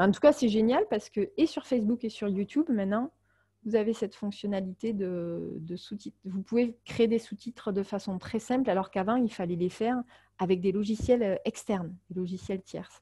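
A woman's voice comes across as somewhat breathy. Her tone is dark and mellow. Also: medium pitch for a woman, ordinary pitch variation, moderate pace, dry, close sound with no echo. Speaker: marketing consultant and webinar trainer. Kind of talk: webinar tutorial. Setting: online webinar. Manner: many filler hesitations.

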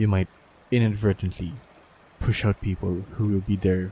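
The tone is gentle and somewhat breathy. Speech moves at a fairly slow pace. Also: man, dry, close sound with no echo. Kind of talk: comforting audio roleplay. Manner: soft, gentle, reassuring.

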